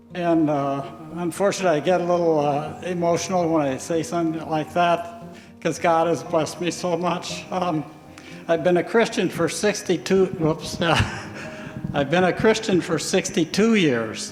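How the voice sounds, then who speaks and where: A man with an American accent speaks at a moderate pace, his pitch high with ordinary variation. Music plays in the background. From US Midwest, northern Iowa. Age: 80s+. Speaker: retired engineer, church member. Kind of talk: testimony. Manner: halting.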